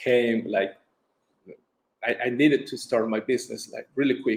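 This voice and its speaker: A man speaks with a Mexican accent and fairly even intonation. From Mexico. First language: Spanish. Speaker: brand designer. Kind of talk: interview. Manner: halting.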